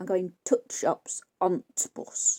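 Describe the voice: A raspy, put-on character voice at a middle pitch. It plays up a Yorkshire accent as part of the act.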